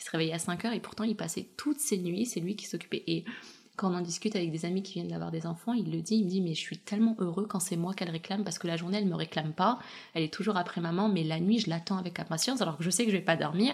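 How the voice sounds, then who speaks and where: Speaking at a very fast pace, a woman uses a medium-pitched, somewhat breathy voice. Her pitch shows ordinary variation. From Chechnya region, Russia; raised in France from age 7. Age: young. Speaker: dressmaker and fashion designer. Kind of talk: interview testimony. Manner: hesitant, many fillers.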